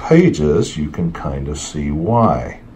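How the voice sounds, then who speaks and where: This is a man's voice. There is noticeable background noise. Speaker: comic book collector YouTuber. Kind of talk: casual show-and-tell video.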